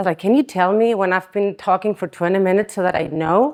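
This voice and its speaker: A woman speaks with a Spanish accent in an animated tone. Her medium pitch shows ordinary variation. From Spain. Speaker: chiropractic conference speaker. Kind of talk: conference talk. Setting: stage with audience.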